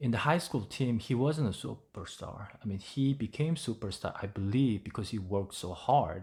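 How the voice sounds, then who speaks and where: A somewhat breathy voice with a Korean accent, lively intonation and a moderate pace, on a very clean recording against a silent background. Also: man. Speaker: English learning YouTuber. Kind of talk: tutorial. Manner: halting, with many fillers.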